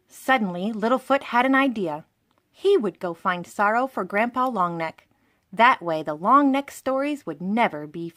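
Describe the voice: Read plainly aloud with lively intonation, the voice sits against a quiet background.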